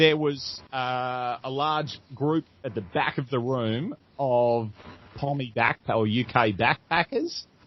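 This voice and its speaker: Very slow in pace, a man with an Australian accent speaks at medium pitch with ordinary pitch variation. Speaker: comedian. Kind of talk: interview. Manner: animated.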